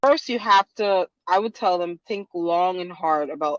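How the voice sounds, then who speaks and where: In a Guyanese accent, a woman with a fairly low pitch speaks at a moderate pace with ordinary pitch variation. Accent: Guyanese Caribbean. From Guyana. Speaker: lawyer. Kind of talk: interview. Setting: podcast.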